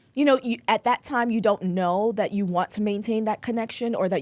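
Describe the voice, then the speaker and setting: A woman with an American accent speaks at a fairly quick pace in a fairly high voice with fairly even intonation. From New York, the Bronx, Jamaican family. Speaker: attorney. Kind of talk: casual interview chat.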